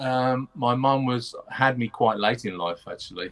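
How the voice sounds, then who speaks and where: A medium-pitched man at a fairly slow pace. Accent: Birmingham. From Birmingham, England (Moseley). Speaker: backing vocalist. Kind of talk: casual interview.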